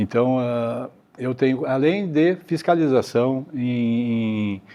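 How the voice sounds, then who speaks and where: Medium-pitched male speech with ordinary pitch variation. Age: 60s. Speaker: mayoral candidate, retired federal police forensic expert. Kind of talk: candidate interview. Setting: auditorium. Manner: hesitant, many fillers.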